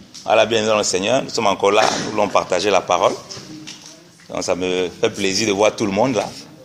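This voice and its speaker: Noticeable background noise sits under speech at a fairly quick pace. The intonation is monotone and flat, broken by long, frequent pauses. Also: man, fairly low pitch for a man. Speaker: preacher. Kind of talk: sermon.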